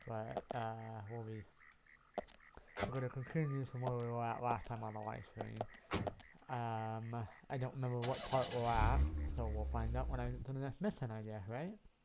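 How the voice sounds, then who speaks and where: Moderate-paced speech from a man, broken by long, frequent pauses, noticeable background noise underneath. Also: medium pitch for a man, ordinary pitch variation. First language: not English. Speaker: gaming streamer. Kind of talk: let's play commentary.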